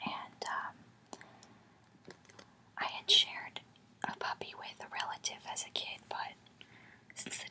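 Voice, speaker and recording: Long, frequent pauses break up a whisper at a very slow pace. Noticeable background noise is present throughout. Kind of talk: ASMR soft-spoken storytelling to camera. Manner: whispered, soft-spoken.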